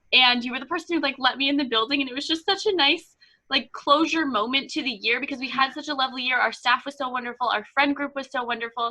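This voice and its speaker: Bright and sharp in tone, a woman speaks in a raised, projected voice at high pitch and very fast pace, sounding upbeat and enthusiastic. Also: ordinary pitch variation. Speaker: podcast host. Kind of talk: casual podcast conversation. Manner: upbeat, enthusiastic.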